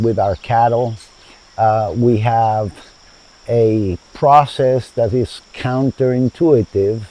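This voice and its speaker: A man speaks at a very slow pace. His pitch is medium, and his intonation stays fairly even. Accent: Spanish. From Chile, then United States from age 12. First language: Spanish. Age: 70s. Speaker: founder of a sustainable community. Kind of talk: interview. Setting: outdoors in a garden.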